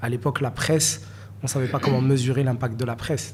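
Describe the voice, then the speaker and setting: A somewhat breathy man with a Moroccan accent, at a fairly quick pace with fairly even intonation. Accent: francophone Moroccan. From Morocco, Marrakech. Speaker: NFT collector and investor. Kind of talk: interview. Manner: hesitant, many fillers.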